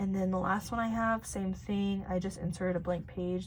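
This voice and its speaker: A woman talks at a fairly quick pace with lively intonation. Audible room echo surrounds her voice. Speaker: planning video creator. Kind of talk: casual tutorial walkthrough.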